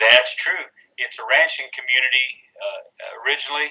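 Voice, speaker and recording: In a Texas accent, a man talks at a moderate pace. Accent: Texas twang. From Texas Hill Country. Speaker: country singer-songwriter. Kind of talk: interview. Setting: video call.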